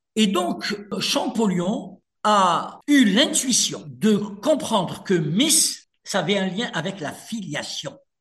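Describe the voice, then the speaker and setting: This man speaks with a North African accent. His pitch is high. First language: Berber (speaking French). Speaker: author and lawyer. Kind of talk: radio interview.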